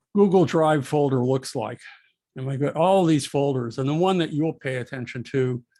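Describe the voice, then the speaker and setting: Fairly high in pitch with ordinary variation, a man speaks in a dark, mellow tone. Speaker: college art instructor. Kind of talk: recorded lecture. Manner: slow; halting, many fillers.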